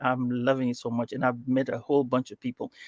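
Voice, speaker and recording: A man with an African accent talks at a very fast pace and a medium pitch. The sound is dry and close, with no echo. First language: Swahili. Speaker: podcast host. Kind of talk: interview. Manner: hesitant, many fillers.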